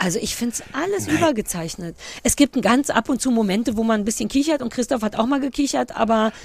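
A woman's fairly high voice, very fast and lively in intonation, against noticeable background noise. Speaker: podcast co-host. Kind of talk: casual chat. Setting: outdoors.

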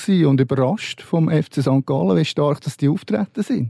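A man speaks with a fairly high pitch and a dark, mellow tone. The sound is dry and close, with no echo. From Switzerland, Lucerne. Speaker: sports journalist. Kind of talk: panel discussion. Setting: studio.

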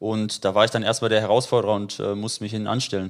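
A man is speaking. His pace is very fast. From Dortmund, Germany. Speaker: former footballer, youth coach. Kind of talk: casual interview. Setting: at his home.

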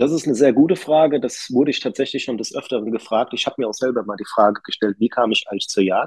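At a very fast pace with hardly any pauses, a man speaks at medium pitch in a dry, close recording without echo. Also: ordinary pitch variation. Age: 30s. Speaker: master electrician and business owner, hunter. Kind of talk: interview. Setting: recording with poor sound quality.

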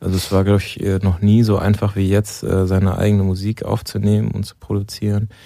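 A man's fairly low, dark, mellow voice, monotone and flat in intonation, at a fairly quick pace. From Germany, Mainz. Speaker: band musician, bassist. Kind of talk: interview.

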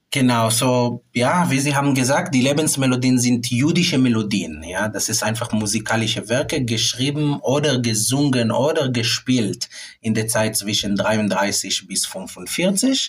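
At a fairly slow pace with hardly any pauses, a somewhat breathy man speaks at a medium pitch with ordinary pitch variation. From Israel. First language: Hebrew (speaking German). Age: 30s. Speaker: classical clarinetist. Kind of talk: interview. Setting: music rehearsal room. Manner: halting.

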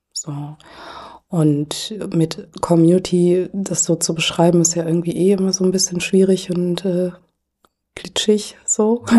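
Very slow in pace, a woman speaks at a fairly low pitch with fairly even intonation. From Germany. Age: 40s. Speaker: anti-racism activist. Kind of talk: podcast interview.

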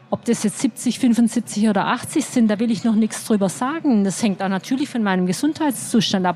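A woman speaks at a moderate pace with a fairly high pitch and ordinary pitch variation. Noticeable background noise is present. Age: 50s. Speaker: journalist and author. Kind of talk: live interview on stage. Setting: stage at a festival.

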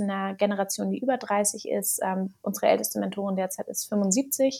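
A woman with a normal speaking voice talks at a moderate pace with fairly even intonation. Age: 20s. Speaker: startup founder and author. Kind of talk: podcast interview.

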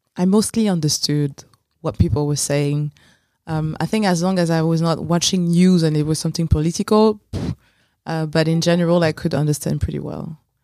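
In a French accent, the voice moves at a fairly quick pace. Its tone is dark and mellow, with fairly even intonation. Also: woman, fairly low pitch for a woman. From France, Paris suburbs. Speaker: podcast guest. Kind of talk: casual chat. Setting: studio.

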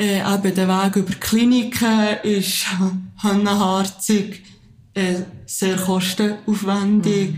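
A somewhat breathy voice at a very slow pace, with monotone, flat intonation and very even loudness. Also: woman, medium pitch for a woman. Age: 30s. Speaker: teacher and support group founder. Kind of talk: interview.

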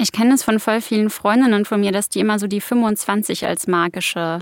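Speaking at a moderate pace in a normal speaking voice, a woman with a medium pitch keeps her intonation fairly even, recorded very cleanly against a silent background with a dry, close sound and no echo. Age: 20s. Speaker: podcast host. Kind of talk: casual interview.

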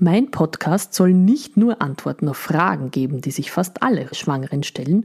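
A woman with a fairly low pitch and a dark, mellow tone speaks at a fairly slow pace, somewhat breathy, on a very clean recording with a silent background. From Upper Austria. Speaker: midwife, podcast host. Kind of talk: scripted podcast introduction.

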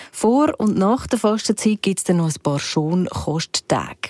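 In an ordinary speaking voice, a woman talks at a fairly slow pace with lively intonation, the sound dry and close with no echo. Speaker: podcast host. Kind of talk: scripted narration.

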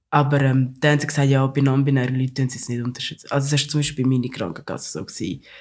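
Very fast and with hardly any pauses, a man speaks at medium pitch with fairly even intonation. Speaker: podcast host. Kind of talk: casual chat.

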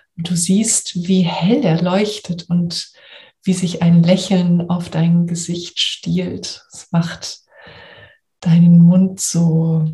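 Very slow and soothing, a woman speaks in a gentle tone with fairly low pitch and monotone, flat intonation. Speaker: coach and podcast host. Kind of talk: guided meditation. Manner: slow, soothing, gentle; calm, warm, soft-spoken.

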